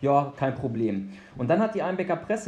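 Speaking at a fairly quick pace, a man has an unremarkable speaking voice pitched fairly high. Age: 40s. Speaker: obstacle race organiser. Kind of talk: podcast interview.

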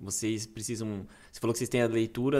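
A man with a Brazilian accent, medium in pitch and fairly quick in pace. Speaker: podcast host. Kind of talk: casual interview chat.

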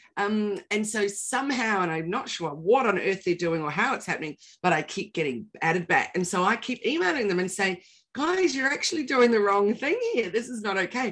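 Lively intonation marks this woman's speech in a New Zealand accent. She talks at a medium pitch and a fairly quick pace. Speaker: podcast co-host, digital marketing trainer. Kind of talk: casual chat.

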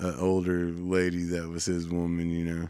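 A man talks with a Southern US accent. His pitch is very deep and low. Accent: Southern country. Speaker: radio host. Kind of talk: casual chat.

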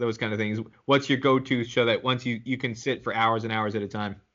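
This is a normal speaking voice from a man of medium pitch, with ordinary pitch variation. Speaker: podcast host. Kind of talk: casual interview.

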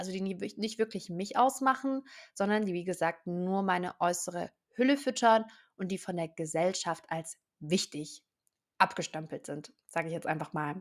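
Animated in tone, a woman talks at a moderate pace and medium pitch with lively intonation. The recording is very clean, with a silent background. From southern Germany, near Stuttgart. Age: 20s. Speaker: podcast host, hypnosis coach. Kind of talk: self-help monologue.

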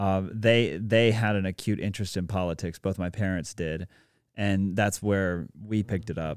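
A man with an American accent has a plain, everyday voice, fairly low in pitch and fairly even in intonation, at a moderate pace. The recording is very clean, with a silent background. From South Carolina. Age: 30s. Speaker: state politician and music publisher. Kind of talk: casual interview. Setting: studio.

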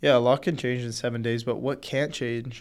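On a very clean recording with a silent background, a man with a Canadian accent speaks at a medium pitch with fairly even intonation in a normal speaking voice. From Canada. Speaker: hockey podcast co-host. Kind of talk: casual sports chat.

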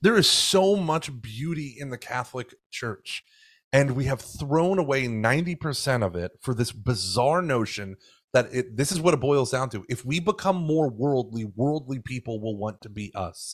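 A man's medium-pitched voice with an American accent, lively intonation and a moderate pace. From Oklahoma and Houston, Texas. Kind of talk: casual interview conversation. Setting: remote podcast call.

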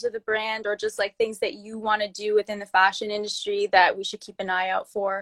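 Fairly high-pitched female speech in an unremarkable speaking voice, at a fairly quick pace, with a dry, close sound and no echo. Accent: Canadian. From Toronto. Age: 20s (22). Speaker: podcast host. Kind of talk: casual interview.

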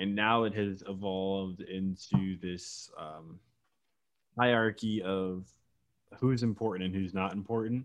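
A man with an American accent talks at a fairly slow pace, leaving long, frequent pauses. His pitch sits fairly low and his intonation stays fairly even. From Virginia. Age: 20s. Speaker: podcast co-host. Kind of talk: casual chat.

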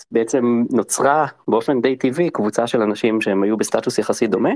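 A plain, everyday voice at a fairly quick pace with ordinary pitch variation. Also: man. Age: 40s. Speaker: venture fund managing partner, former founder. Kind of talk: interview.

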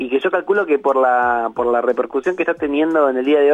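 Music plays in the background as a man talks at a very fast pace. His voice is fairly high with ordinary pitch variation, and the sound is dry and close with no echo. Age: 40s. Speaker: philosopher and university lecturer. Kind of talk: radio interview.

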